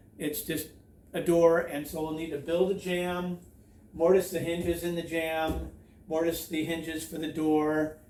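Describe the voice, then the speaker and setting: A man speaks at a high pitch in a flat monotone. His pace is fairly slow, and the room echo is audible. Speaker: DIY home renovation YouTuber. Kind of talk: tutorial. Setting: outdoors by a creek.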